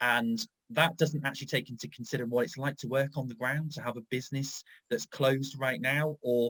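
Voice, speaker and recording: In a dry, close sound with no echo, a man uses a normal speaking voice at medium pitch, talking at a fairly quick pace with fairly even intonation. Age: 30s. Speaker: tourism strategist. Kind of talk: panel discussion.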